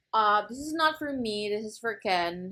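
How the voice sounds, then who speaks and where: On a very clean recording with a silent background, a woman speaks very slowly at a fairly high pitch with very wide pitch swings. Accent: Filipino. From Philippines. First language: Filipino. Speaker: book vlogger. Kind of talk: casual chat. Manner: animated.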